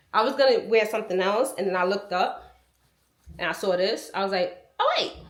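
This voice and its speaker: The intonation is lively and the pace fairly quick. Audible room echo surrounds the voice. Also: woman. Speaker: lifestyle vlogger. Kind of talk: casual vlog talk to camera.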